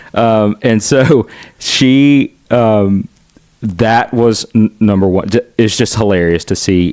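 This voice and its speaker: A man talks at a very slow pace with a fairly low pitch, ordinary pitch variation and very even loudness, the sound dry and close with no echo. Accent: Southern US. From US South, Chattanooga, Tennessee. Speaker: son of a Filipino immigrant doctor. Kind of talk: interview. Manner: halting, many fillers and restarts.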